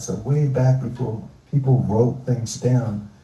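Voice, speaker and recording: Somewhat breathy and dark, mellow in tone, a man talks at a very slow pace and medium pitch with fairly even intonation, with audible room echo around him. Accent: American. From US Northeast, Philadelphia. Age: 70s. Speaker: environmentalist. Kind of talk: live onstage interview.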